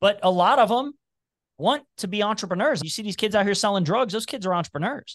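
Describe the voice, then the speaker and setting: Against a quiet background, a man with an American accent talks at a very fast pace and a high pitch, with ordinary pitch variation. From Cincinnati, Ohio (Price Hill). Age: 40s. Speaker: entrepreneur and podcaster. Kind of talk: casual interview chat.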